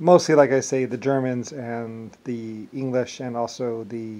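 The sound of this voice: A man speaks at medium pitch with a dark, mellow tone. His pitch moves very little.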